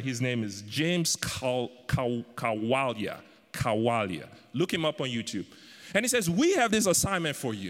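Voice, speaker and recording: A man speaks with very wide pitch swings. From Africa. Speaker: guest preacher. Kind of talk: sermon. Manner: animated.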